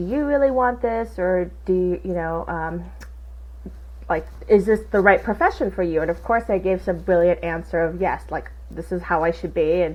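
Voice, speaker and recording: At a moderate pace, a woman speaks in a Southern Californian accent. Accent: Valley girl. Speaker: insurance agency owner. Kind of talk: interview conversation. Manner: casual, animated.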